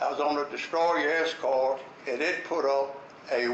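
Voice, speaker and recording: A man with an American accent and fairly even intonation, over noticeable background noise. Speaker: war veteran. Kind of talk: war memories talk to an audience.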